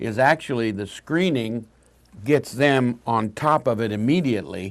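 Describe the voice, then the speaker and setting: A man's plain, everyday voice with ordinary pitch variation, against a quiet background. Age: 60s. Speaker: talk show host. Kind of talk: health talk show interview.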